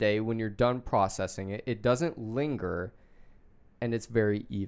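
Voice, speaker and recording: This man talks at a moderate pace. He has an American accent. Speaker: podcast host. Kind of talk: casual chat. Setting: studio.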